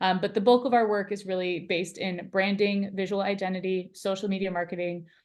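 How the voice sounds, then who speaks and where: The speech is fairly quick and monotone, with flat intonation and hardly any pauses. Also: woman, medium pitch for a woman. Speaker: agency founder. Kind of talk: webinar interview. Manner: fast.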